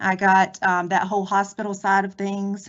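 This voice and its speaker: In a North Carolina accent, a woman talks at a moderate pace with monotone, flat intonation. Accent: North Carolina Southern. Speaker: federal law enforcement agent, former nurse. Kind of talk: career presentation.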